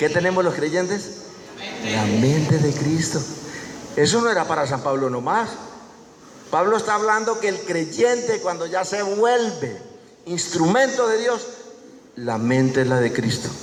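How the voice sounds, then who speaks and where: In a room with audible echo and noticeable background noise, a man speaks fairly slowly in a high voice, his pitch swinging very widely and his speech broken by long, frequent pauses. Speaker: preacher. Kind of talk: sermon. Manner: animated.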